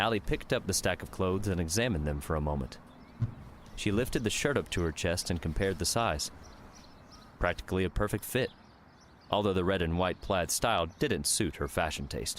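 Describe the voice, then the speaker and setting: A man with a very deep, low voice and vocal fry speaks with lively intonation, broken by long, frequent pauses. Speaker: audiobook narrator. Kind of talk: audio drama narration.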